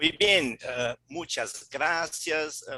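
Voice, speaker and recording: The recording is dry and close, without any echo. A man talks with a non-native accent. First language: Portuguese (speaking Spanish). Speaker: law professor. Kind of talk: formal remarks. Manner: slow.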